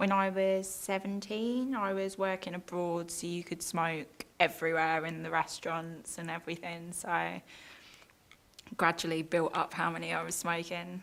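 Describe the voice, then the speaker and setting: A woman with a British accent talks at a moderate pace with fairly even intonation. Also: fairly low pitch for a woman. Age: 20s. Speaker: interviewee. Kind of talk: interview.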